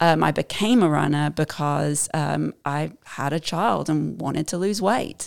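Pitched very deep and low with vocal fry, a woman with an American accent speaks fairly slowly and with ordinary pitch variation on a very clean recording with a silent background. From southern England. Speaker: amateur marathon runner. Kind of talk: podcast interview. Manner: uses many fillers like um and uh.

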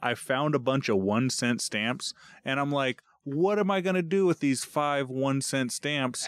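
A man's ordinary speaking voice at a fairly slow pace, with very even loudness and ordinary pitch variation. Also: fairly high pitch for a man, dry, close sound with no echo. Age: 30s. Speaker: podcast host. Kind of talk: casual chat.

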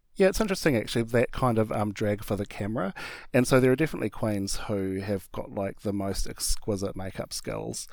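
On a very clean recording with a silent background, a man with a New Zealand accent and a medium pitch talks at a fairly quick pace with hardly any pauses. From small-town New Zealand (Hamilton area). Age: 40s. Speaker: drag performer. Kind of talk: interview.

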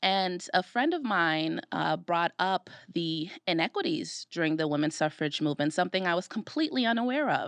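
A woman with an American accent and an unremarkable speaking voice talks at a fairly low pitch and moderate pace, with lively intonation and very even loudness, in a dry, close sound with no echo over a quiet background. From Brooklyn, New York. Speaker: podcast co-host, diversity program manager. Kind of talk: casual chat. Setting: studio.

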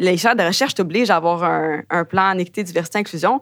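On a very clean recording with a silent background, a woman speaks at a very fast pace and medium pitch in a dry, close sound with no echo. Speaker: graduate student. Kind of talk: interview testimony. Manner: hesitant, filler-heavy.

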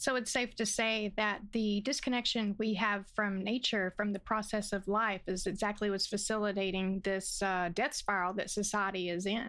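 A woman with an American accent speaks in a plain, everyday voice at a medium pitch and moderate pace, keeping fairly even intonation, very even loudness and hardly any pauses on a very clean recording with a silent background. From US South. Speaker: podcast co-host. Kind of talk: casual chat.

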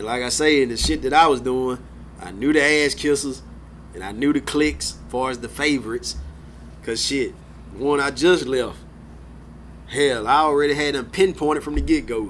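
Speaking at a moderate pace, a man leaves long, frequent pauses and swings widely in loudness.

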